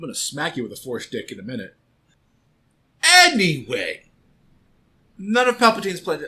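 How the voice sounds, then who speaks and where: This man talks at a fairly quick pace with long, frequent pauses, his high pitch swinging very widely and his tone bright and sharp. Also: big swings in loudness. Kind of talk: podcast banter. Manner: exasperated.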